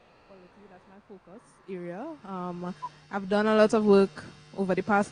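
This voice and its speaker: With a plain, everyday voice at a medium pitch, a woman talks at a moderate pace with fairly even intonation. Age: 20s. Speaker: youth climate advocate. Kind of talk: self-introduction at online panel.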